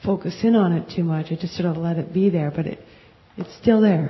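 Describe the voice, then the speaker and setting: A woman speaks in an ordinary speaking voice with a fairly low pitch. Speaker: class participant. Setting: live class, speaking into a mic.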